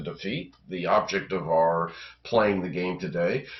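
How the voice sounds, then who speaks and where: A man talks at a fairly slow pace. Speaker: board game video creator. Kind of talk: tutorial. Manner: hesitant, many fillers.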